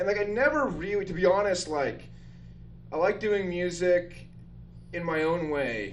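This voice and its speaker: A loud man with an American accent and a high pitch speaks at a moderate pace with lively intonation, long, frequent pauses and audible room echo. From northern Utah. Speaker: comedian and drummer. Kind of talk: casual chat. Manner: animated.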